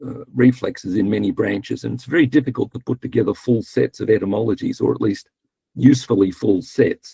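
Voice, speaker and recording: His pitch sits in the medium range with ordinary variation. The man's voice carries vocal fry. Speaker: linguistics researcher. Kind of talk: conference talk. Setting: online conference. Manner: hesitant, many fillers.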